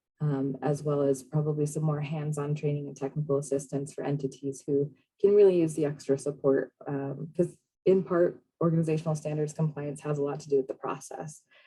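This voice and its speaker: The voice is somewhat breathy and moves at a fairly quick pace. Its intonation is monotone and flat. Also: woman, very deep, low pitch for a woman. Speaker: state program manager presenting on a call. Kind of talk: online meeting presentation. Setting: video call. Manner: fast.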